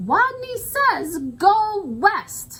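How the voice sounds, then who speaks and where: A woman puts on a squeaky character voice at an extremely high pitch with lively intonation. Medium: read story.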